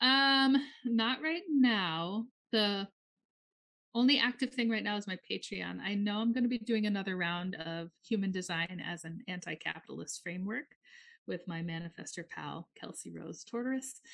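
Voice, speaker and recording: With an American accent, a woman uses an ordinary speaking voice at medium pitch, keeping a moderate pace and lively intonation. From US Midwest, northern Minnesota. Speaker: astrologer and healing practitioner. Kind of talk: casual chat.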